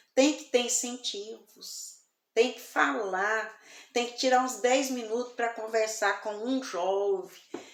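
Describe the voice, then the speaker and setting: Audible room echo surrounds a woman talking at a very slow pace and a fairly high pitch. She shows ordinary pitch variation and big swings in loudness. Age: 60s. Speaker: evangelical preacher. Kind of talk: sermon. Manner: soft-spoken.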